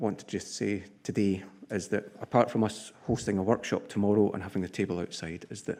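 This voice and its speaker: A fairly low-pitched man with a Scottish accent, a dark, mellow tone, fairly even intonation, big swings in loudness and a moderate pace. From Scotland. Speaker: structural engineer, conference sponsor speaker. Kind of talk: conference address. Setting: conference podium with audience.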